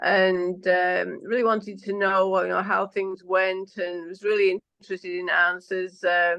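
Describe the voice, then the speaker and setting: A woman speaks in a strong Manchester accent at a medium pitch. Her tone is bright and sharp, and her intonation is monotone and flat. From northern England (Manchester, Yorkshire Dales). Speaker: politician. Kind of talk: interview. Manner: normally very fast, moderated here.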